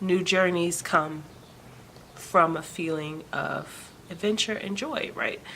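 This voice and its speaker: A soft-spoken woman's fairly low voice at a fairly slow pace. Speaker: vlogger. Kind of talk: personal vlog update. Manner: hesitant, many fillers.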